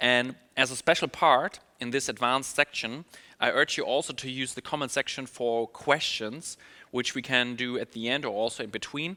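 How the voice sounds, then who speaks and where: The voice has a bright, sharp tone at a moderate pace. The sound is dry and close, with no echo. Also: man. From Germany. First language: German. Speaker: email marketing specialist. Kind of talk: webinar presentation. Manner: upbeat.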